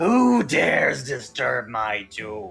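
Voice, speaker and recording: A man puts on a raspy, booming character voice. Faint music plays in the background. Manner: menacing, commanding.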